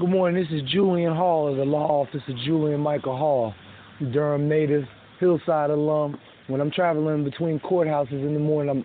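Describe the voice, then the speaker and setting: In an ordinary speaking voice, a man with a fairly high pitch speaks at a moderate pace with ordinary pitch variation. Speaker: sports reporter. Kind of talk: news reading.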